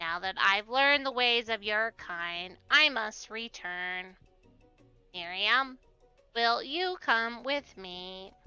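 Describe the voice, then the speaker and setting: Using a put-on character voice with fairly high pitch, a woman speaks at a very slow pace as faint music plays in the background. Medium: game stream. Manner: stiff, formal.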